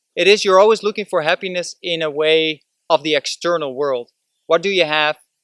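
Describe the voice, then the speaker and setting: In a Dutch accent, a man speaks at a moderate pace with a high pitch and a bright, sharp tone, recorded dry and close with no echo. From Netherlands. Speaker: vlogger. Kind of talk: motivational vlog talk. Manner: casual, with hesitations.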